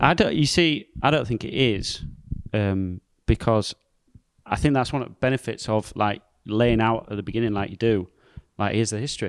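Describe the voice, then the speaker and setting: With a Yorkshire accent, a man speaks at a moderate pace and medium pitch, with ordinary pitch variation, long and frequent pauses, and a dry, close sound with no echo. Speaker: pastor. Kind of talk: casual podcast discussion.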